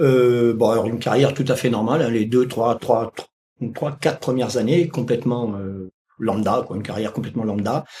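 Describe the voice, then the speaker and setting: A man speaks at medium pitch with a somewhat breathy voice and a dark, mellow tone. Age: 60s. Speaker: retired firefighter and dog trainer. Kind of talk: interview. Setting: podcast. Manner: halting, many hesitations.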